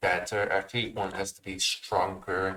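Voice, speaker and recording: Bright and sharp in tone, a man with a fairly low pitch talks at a fairly slow pace in a monotone, flat intonation. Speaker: game developer. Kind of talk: tutorial. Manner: halting.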